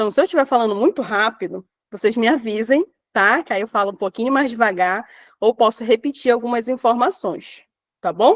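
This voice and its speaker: A woman with a fairly high pitch speaks at a moderate pace with lively intonation, her voice dry and close with no echo against a quiet background. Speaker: teacher trainer. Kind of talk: online lecture. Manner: animated.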